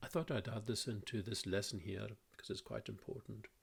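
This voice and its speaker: Speaking at a moderate pace, a man with a Hebridean accent has a fairly low-pitched voice with vocal fry. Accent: Lewis. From Scotland, Isle of Lewis (Ness). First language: Scottish Gaelic. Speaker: language teacher. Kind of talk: tutorial. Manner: casual, hesitant with fillers.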